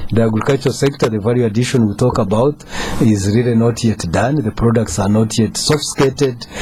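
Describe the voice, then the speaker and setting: There is noticeable background noise behind this man. He talks at a very fast pace with ordinary pitch variation. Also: medium pitch for a man. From Uganda. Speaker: government economic official. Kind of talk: radio talk show discussion. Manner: halting, many fillers.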